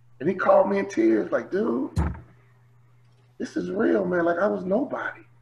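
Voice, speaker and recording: With noticeable background noise behind him, a man talks at a moderate pace, breaking often for long pauses. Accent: American. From US Midwest, Chicago. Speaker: motivational speaker, former basketball player. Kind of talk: interview. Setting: video call. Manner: animated.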